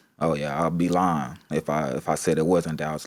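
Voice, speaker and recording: This is a man with an American accent. The recording is very clean, with a silent background. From US South. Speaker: painter. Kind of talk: casual chat. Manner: animated storytelling.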